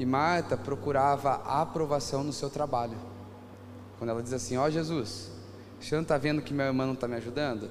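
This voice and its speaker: A man with a Brazilian accent and a fairly high pitch talks at a fairly quick pace with long, frequent pauses, in a space with audible room echo. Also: ordinary pitch variation. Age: 30s. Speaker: pastor. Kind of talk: sermon.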